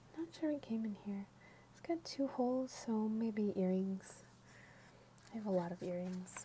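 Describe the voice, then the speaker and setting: Lively intonation and big swings in loudness mark this moderate-paced delivery, broken by long, frequent pauses. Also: woman, medium pitch for a woman. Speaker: ASMR content creator. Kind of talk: ASMR ramble, casual talk to camera. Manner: soft-spoken, sometimes whispering.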